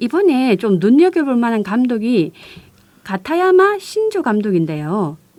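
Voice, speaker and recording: A woman's fairly high voice with a strong Gyeongsang accent, very wide swings in pitch, and a fairly slow pace. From Busan, South Korea. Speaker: community radio co-host, culture news. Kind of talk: radio chat.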